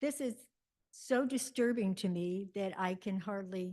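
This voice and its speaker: Very slow delivery in a dark, mellow tone, with ordinary pitch variation. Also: woman. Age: 80s+. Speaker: homeowner speaking at public comment. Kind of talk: public comment at board meeting. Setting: community board meeting. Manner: halting, stammering.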